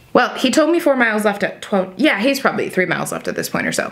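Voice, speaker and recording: A woman speaks in an animated tone with very wide pitch swings over noticeable background noise. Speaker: lifestyle vlogger. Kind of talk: casual vlog chat. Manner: fast.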